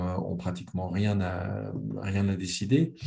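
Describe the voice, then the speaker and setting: A man with a very deep, low pitch and a dark, mellow tone speaks at a very slow pace amid audible room echo. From Geneva, Switzerland. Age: 60s. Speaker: author. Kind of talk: conversational interview. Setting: video call. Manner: repetitive stammering.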